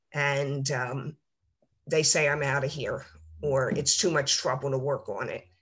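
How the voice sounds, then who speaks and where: A woman with a very deep, low voice speaks at a fairly slow pace in a flat monotone. The background is quiet. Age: 60s. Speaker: retired nurse and novelist. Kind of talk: interview. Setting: video call. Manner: halting, many fillers.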